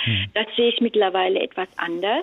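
Noticeable background noise runs through the clip. Her pace is moderate, and this woman uses ordinary pitch variation. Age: 60s. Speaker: caller. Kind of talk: casual chat. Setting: phone call from home kitchen. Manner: halting.

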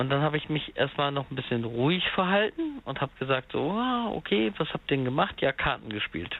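Fairly high in pitch and with lively intonation, a man with an unremarkable speaking voice talks at a fairly quick pace with hardly any pauses. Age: 30s. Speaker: caller. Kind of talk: phone-in call about being cheated on. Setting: phone call.

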